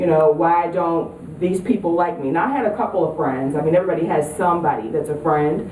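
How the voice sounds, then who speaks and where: A woman with a New York accent talks at a fairly quick pace with hardly any pauses and ordinary pitch variation, over noticeable background noise and audible room echo. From upstate New York. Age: 30s. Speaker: author and speaker. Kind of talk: talk to an audience. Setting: presentation to high school girls. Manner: casual, hesitant with fillers.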